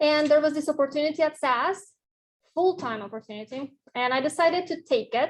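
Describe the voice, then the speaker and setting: A woman speaks in a Russian accent at a moderate pace with ordinary pitch variation. The background is quiet. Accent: Russian accent, lasting. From Mexico. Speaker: professor. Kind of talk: lecture. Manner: halting, with fillers.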